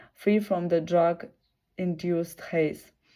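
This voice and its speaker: A woman's medium-pitched voice with a Russian accent, dark and mellow in tone, fairly even in intonation, on a very clean recording with a silent background. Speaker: video blogger. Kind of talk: reading aloud. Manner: halting.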